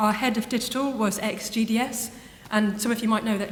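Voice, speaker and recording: A woman with an English accent speaks in a flat monotone at medium pitch, with noticeable background noise and audible room echo. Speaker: university web content producer. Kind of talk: conference lightning talk. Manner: fast; soft-spoken.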